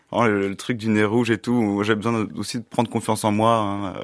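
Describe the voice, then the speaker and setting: Here a man speaks at a moderate pace. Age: 30s. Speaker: actor. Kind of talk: interview. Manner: halting.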